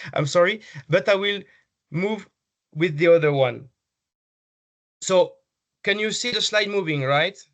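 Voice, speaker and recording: A man with a high pitch speaks at a fairly slow pace, leaving long, frequent pauses. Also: ordinary pitch variation. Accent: French. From France. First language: French. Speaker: healthcare technology business development manager. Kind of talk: conference presentation. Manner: halting, many fillers and repetitions.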